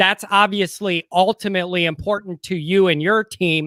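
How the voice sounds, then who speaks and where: Dry and close with no echo, a man with a Chicago accent speaks in a raised, projected voice at a moderate pace, his high pitch carrying a bright, sharp tone and ordinary pitch variation. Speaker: sports YouTuber, co-host. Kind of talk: casual sports podcast chat.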